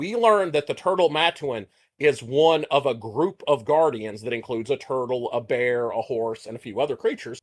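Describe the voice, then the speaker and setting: A man with a Texas accent speaks at a moderate pace with a fairly high pitch and lively intonation, in a very clean recording with a silent background. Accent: Texas accent, self-described as mushmouth. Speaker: podcast co-host. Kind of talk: casual chat.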